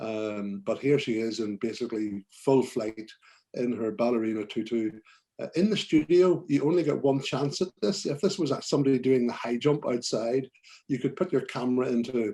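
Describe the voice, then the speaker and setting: At a moderate pace, a man with a Belfast accent speaks at a medium pitch with lively intonation. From Northern Ireland, Belfast. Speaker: portrait photographer. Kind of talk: presentation to photography club. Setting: video call. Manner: hesitant, many fillers.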